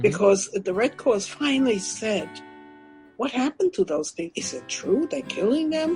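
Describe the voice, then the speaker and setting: A woman speaks with very wide pitch swings. Music plays in the background. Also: fairly high pitch for a woman, moderate pace. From Germany. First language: German. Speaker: Holocaust survivor, author and public speaker. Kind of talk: interview answer.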